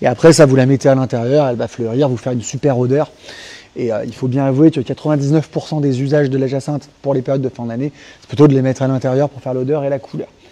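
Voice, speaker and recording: Talking very fast, a man keeps a monotone, flat intonation while his loudness swings widely. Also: medium pitch for a man. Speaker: garden centre nurseryman. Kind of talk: live product presentation. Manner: hesitant, many fillers.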